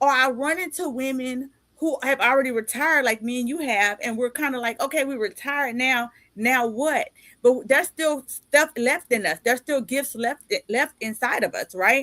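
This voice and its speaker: Raised and projected, a woman's bright, sharp, high-pitched voice comes at a moderate pace with ordinary pitch variation and a dry, close sound with no echo. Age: 50s. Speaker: podcast host and life coach. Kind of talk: casual interview chat. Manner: animated.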